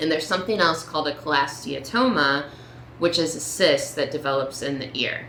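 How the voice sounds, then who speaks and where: With noticeable background noise behind her, a woman with a very deep, low pitch speaks at a fairly quick pace with ordinary pitch variation. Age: 30s. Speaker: patient sharing diagnosis story. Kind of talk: personal story talk to camera.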